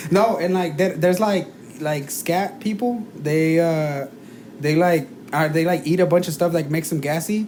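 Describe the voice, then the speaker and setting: Speaking at a moderate pace with a slight non-native accent, a man talks in a high voice with ordinary pitch variation over noticeable background noise. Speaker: podcast co-host. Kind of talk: casual chat. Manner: halting, many fillers.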